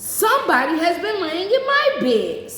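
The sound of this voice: Extremely high-pitched and female-sounding, this put-on character voice moves at a moderate pace with a slight echo.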